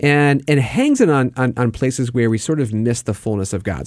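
A man speaks with a normal speaking voice at a medium pitch and ordinary pitch variation. The recording is very clean, with a silent background. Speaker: faith mentor and co-host. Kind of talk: casual chat about faith.

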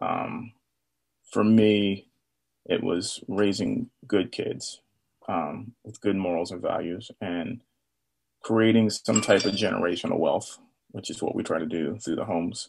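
A man's fairly slow speech with long, frequent pauses. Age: 40s. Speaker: charity co-founder and business owner. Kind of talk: casual interview.

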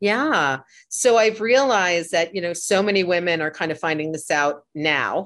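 A plain, everyday voice from a woman, fairly low in pitch, with lively intonation at a moderate pace in a quiet background. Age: 50s. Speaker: pilates instructor. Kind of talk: interview.

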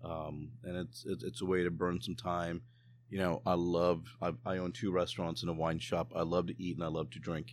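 This man's voice is very deep and low, with vocal fry. He talks at a moderate pace. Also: ordinary pitch variation. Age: 40s. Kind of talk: casual chat. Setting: outdoors.

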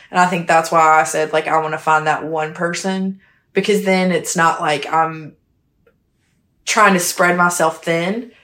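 Using fairly even intonation, a woman speaks at a fairly slow pace and a fairly low pitch. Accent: Southern US. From South Carolina, small town. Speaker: real estate asset manager. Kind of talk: casual interview chat.

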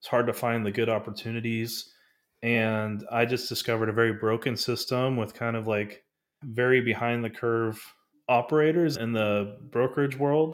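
An unremarkable speaking voice from a man with an American accent, medium in pitch, moderate in pace, with fairly even intonation. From North Texas. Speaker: business broker. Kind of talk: interview.

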